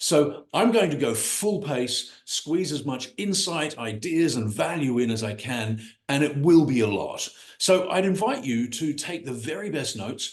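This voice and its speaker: Pitched fairly high, a man with an American accent sounds somewhat breathy as his voice makes very wide pitch swings. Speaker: business coach. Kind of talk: online workshop presentation. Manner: fast; enthusiastic.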